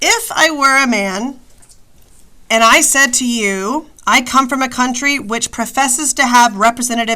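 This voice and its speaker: A woman puts on a character voice that is nasal and high-pitched. She talks at a moderate pace in a raised, projected voice. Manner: reading aloud in an exaggerated way.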